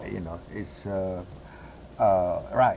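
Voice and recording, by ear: A man speaks at a fairly slow pace with a slightly mellow tone.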